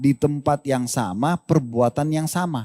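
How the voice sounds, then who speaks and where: A man has an ordinary speaking voice, fairly high in pitch, with ordinary pitch variation. The recording is very clean with a silent background and a dry, close sound with no echo. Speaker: Islamic preacher answering questions. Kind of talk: religious lecture and Q&A answer.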